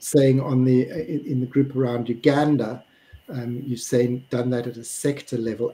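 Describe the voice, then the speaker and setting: At a fairly slow pace, a man with a South African accent speaks in a dark, mellow tone that is somewhat breathy. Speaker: webinar moderator. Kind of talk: panel discussion. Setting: live stream.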